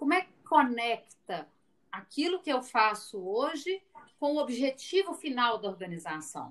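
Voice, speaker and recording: A woman with a high voice speaks at a fairly slow pace, her pitch swinging very widely. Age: 40s. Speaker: finance executive. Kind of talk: interview.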